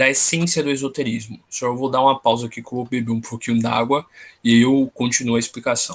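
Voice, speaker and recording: A man speaks at a fairly quick pace and medium pitch, his intonation monotone and flat. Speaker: tarot study group leader. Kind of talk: online study group lecture. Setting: video call.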